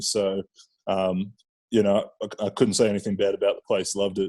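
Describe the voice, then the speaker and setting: A man with an Australian accent talks at a fairly quick pace, his fairly low pitch carrying a dark, mellow tone. The recording is very clean with a silent background and a dry, close sound with no echo. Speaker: professional football player. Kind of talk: casual interview chat.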